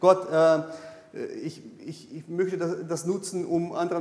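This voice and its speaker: With audible room echo, a man speaks at a high pitch and a fairly slow pace, his intonation fairly even. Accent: Brazilian. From Brazil. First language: Portuguese (speaking German). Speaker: pastor. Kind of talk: sermon. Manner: halting.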